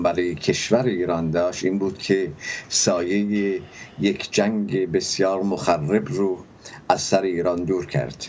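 Very slow, very deep and low male speech with light background noise. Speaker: economics professor guest. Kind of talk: interview answer. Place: home room. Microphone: video call.

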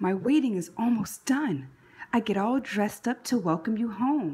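With a husky, rough edge on a dark, mellow tone, a woman at medium pitch speaks at a fairly slow pace with lively intonation.

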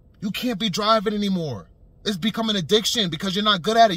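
A man's raised, projected voice has a bright, sharp tone, heard as a dry sound with no echo. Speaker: vlogger. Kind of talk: casual vlog commentary. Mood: earnest, persuasive. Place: car. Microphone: phone near.

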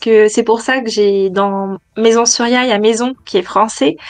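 A woman takes a fairly slow pace, heard against a quiet background. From France, Nantes; France. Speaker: feng shui interior decorator, former lawyer; former lawyer. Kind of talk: interview testimony. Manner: hesitant, many fillers. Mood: warm, reflective.

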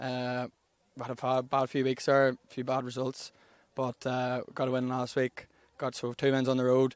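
In a Northern Irish accent, a man talks fairly quickly at a medium pitch with monotone, flat intonation. The sound is dry and close with no echo. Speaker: club captain being interviewed. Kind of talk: post-match interview, casual chat. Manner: relaxed, conversational.

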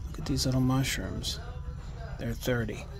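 A man speaks with clear music in the background. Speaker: vintage reseller. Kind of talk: casual vlog chat. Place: shop. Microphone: phone near.

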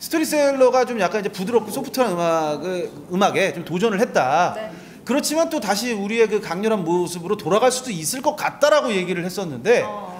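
Animated and fairly quick, the delivery has lively intonation over light background noise. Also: man, high pitch for a man. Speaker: music journalist interviewer. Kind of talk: backstage interview. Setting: backstage at concert venue. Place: hall. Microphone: handheld.

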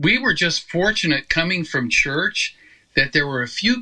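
A man with an American accent speaks fairly slowly in a bright, sharp tone, using very wide pitch swings and vocal fry. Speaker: gospel singer. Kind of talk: interview.

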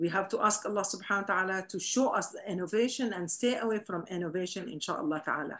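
A woman's speech shows ordinary pitch variation and moves at a fairly quick pace. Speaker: religious class teacher. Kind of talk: lecture. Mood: warm, smiling. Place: home room. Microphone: webcam.

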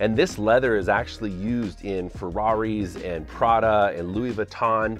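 Faint music plays behind a man whose voice has a dry sound with no echo. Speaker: home theater hobbyist creator. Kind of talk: casual vlog tour.

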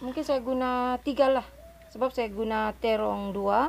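A woman's high-pitched voice, fairly slow, with ordinary pitch variation and light background noise. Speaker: home cook vlogger. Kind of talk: casual cooking tutorial chat. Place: kitchen. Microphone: phone near.

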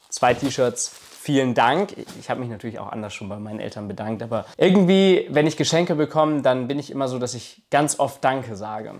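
A man's fairly quick, lively delivery with big swings in loudness. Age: 20s. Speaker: YouTuber; vlogger. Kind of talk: vlog monologue to camera. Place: home room. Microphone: lapel.

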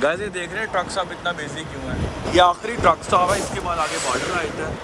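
Fairly quick speech from a man amid loud background noise. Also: dry sound with no echo. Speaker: truck driver vlogger. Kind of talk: casual vlog chat. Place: street. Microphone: phone near.

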